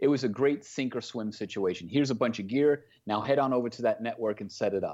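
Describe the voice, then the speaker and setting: Over a quiet background, a man at a medium pitch talks with hardly any pauses and ordinary pitch variation. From Queens, New York. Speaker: broadcast producer. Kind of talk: interview.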